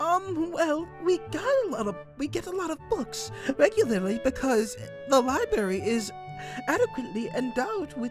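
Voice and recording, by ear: A man's put-on character voice at a moderate pace over clear music in the background.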